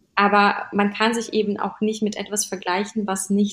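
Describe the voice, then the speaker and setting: This woman's voice sits in the middle of her pitch range. Her speed is moderate. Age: 30s. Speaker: fashion stylist and image coach. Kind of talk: casual interview.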